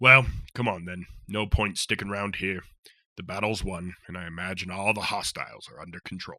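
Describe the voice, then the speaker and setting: A man does a put-on character voice that is raspy and fairly low in pitch. He speaks at a moderate pace. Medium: audio drama. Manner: hearty, warm.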